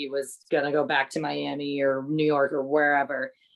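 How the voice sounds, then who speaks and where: This woman speaks at a moderate pace with a very deep, low pitch. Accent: New England. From New England, US. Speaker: wine coordinator. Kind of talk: casual podcast chat. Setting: podcast recording with wine tasting.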